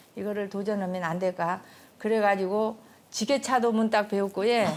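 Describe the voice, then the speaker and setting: Using an ordinary speaking voice, a woman talks at a moderate pace and medium pitch with fairly even intonation. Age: 60s. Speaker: farmer and village representative. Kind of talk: casual interview chat.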